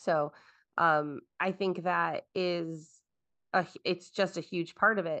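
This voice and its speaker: A woman talks at a very slow pace in a fairly low pitch, with a bright, sharp tone and fairly even intonation. The background is quiet. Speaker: veterinary technician and educator. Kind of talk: interview.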